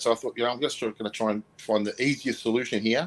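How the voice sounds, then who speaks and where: A man rattles off his words very fast, his intonation fairly even throughout. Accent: Australian. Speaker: motorcycle vlogger, co-host. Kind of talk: casual chat. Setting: live stream.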